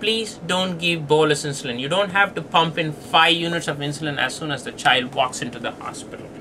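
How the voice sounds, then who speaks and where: A man with a non-native accent, high-pitched and lively in intonation, at a fairly quick pace over noticeable background noise. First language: not English. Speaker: pediatric diabetes doctor. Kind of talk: lecture.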